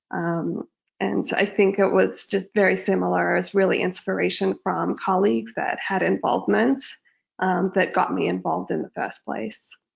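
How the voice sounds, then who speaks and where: With an Australian accent, a woman speaks at a moderate pace in a very deep, low pitch, with vocal fry and very wide pitch swings. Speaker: locum veterinarian. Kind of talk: interview podcast.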